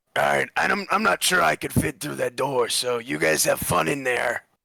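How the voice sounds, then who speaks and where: Using a raspy, put-on character voice at a medium pitch, a man moves at a moderate pace with very wide pitch swings. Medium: actual play. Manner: measured, reflective.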